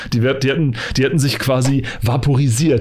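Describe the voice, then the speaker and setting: A man talks at a fairly quick pace with medium pitch. He has a plain, everyday voice. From eastern Germany. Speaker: podcast host. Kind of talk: casual chat.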